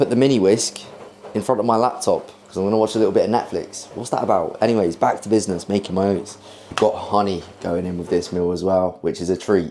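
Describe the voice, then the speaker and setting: A man with a British accent, fairly low in pitch, with ordinary pitch variation, a very fast pace and noticeable background noise. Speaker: fitness vlogger. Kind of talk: casual vlog chat. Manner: energetic.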